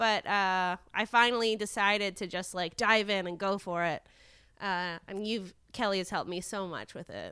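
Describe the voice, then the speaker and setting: A woman's medium-pitched voice has a bright, sharp tone and fairly even intonation at a moderate pace. The recording is very clean, with a silent background. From Montreal suburbs, Quebec. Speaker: podcast host. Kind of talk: casual chat.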